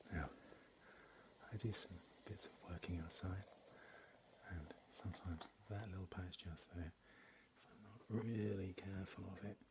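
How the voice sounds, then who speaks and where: Soft-spoken and somewhat breathy, a man with an English accent speaks in a very deep, low pitch with fairly even intonation, long, frequent pauses and big swings in loudness. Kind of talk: ASMR talk to camera.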